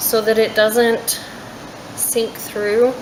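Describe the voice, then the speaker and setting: The speaker is soft-spoken and goes at a very slow pace. Background noise is noticeable. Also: woman. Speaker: soap maker. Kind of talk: tutorial.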